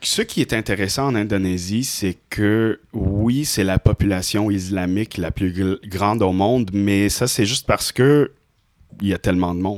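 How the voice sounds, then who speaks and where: At a fairly slow pace, a man speaks in a fairly low pitch with fairly even intonation, in a very clean recording with a silent background. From Indonesia. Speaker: professional musician and artist. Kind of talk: casual chat.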